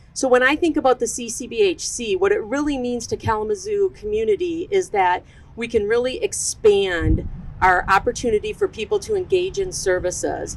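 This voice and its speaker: A woman speaks loudly in a high voice. Her pitch swings very widely. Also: moderate pace. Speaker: behavioral health program manager. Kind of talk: ceremony speech.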